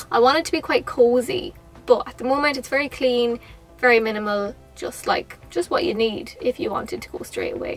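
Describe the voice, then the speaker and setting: Faint music plays behind a woman who talks at a fairly quick pace with a high pitch. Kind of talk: casual vlog chat. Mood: cheerful, excited. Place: car.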